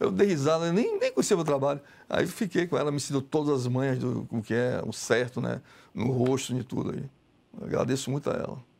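A man's voice sits fairly high. Its pitch moves in an ordinary way. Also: fairly quick pace. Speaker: visual artist; guest. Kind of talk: TV interview. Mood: frank, somewhat aggrieved.

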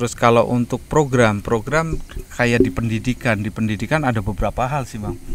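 At a fairly quick pace, a man with a medium-pitched voice speaks with fairly even intonation, in a dry recording with no echo and light background noise. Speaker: CSR community development staff. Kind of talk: casual outdoor podcast interview. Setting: outdoors at demonstration farm. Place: garden. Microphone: handheld.

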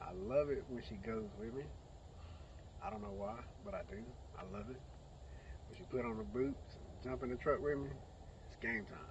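A moderate pace broken by long, frequent pauses, big swings in loudness, and a dry sound with no echo over noticeable background noise. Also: man. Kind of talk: casual vlog chat. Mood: relaxed, fond. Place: open country. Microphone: phone near.

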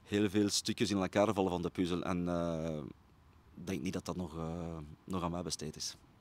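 A man's very deep, low voice in a Brabant Flemish accent, flat and monotone, with a dry sound and no echo. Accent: Flemish (Brabant) Dutch. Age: 40s. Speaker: football coach. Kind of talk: interview. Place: stadium. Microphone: handheld.

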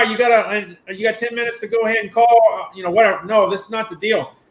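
Amid audible room echo, a man talks very fast at a high pitch. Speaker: online show host. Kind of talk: casual live-stream chat. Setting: video call. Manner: fast talker. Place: home room. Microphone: webcam.

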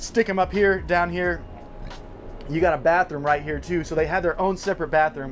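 A man talks at a very fast pace in a high-pitched voice. Music plays in the background. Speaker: RV reviewer. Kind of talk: casual tour presentation. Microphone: camera far.

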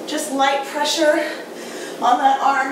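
Amid noticeable background noise and audible room echo, a woman speaks at a high pitch with fairly even intonation. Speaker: fitness instructor. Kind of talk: workout tutorial intro.

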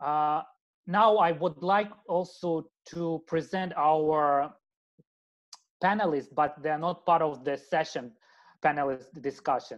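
The speaker talks at a very slow pace with long, frequent pauses and ordinary pitch variation, against a quiet background. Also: man, fairly high pitch for a man. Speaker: webinar moderator, architect; webinar moderator. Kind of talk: moderating a webinar. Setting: video call. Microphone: video call.

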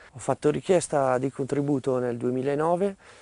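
Dry with no echo, the recording captures a man with a dark, mellow tone at medium pitch, speaking fairly slowly with ordinary pitch variation. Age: 30s. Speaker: beekeeper. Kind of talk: interview. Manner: halting, with frequent hesitations. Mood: calm, friendly. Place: farm. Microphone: lapel.

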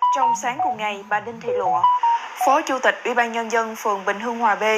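A woman talks at a fairly high pitch as noticeable background noise goes on. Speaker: news presenter. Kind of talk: news reading. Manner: formal.

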